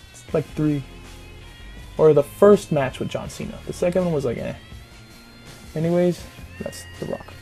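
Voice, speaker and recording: With music playing behind, the speaker stops often for long pauses. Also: man, moderate pace. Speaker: youtuber. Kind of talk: casual talk to camera.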